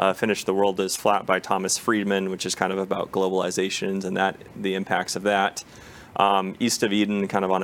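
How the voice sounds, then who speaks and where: Through noticeable background noise, a man with an American accent and a very deep, low pitch talks at a fairly quick pace in a monotone, flat intonation. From US, Portland Oregon then Kansas and Dallas area. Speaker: business consultant. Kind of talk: interview. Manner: concise.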